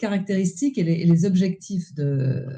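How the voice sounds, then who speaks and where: This woman has a dark, mellow, somewhat breathy tone at a medium pitch. She keeps a moderate pace. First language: French. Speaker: presenter. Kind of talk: presentation.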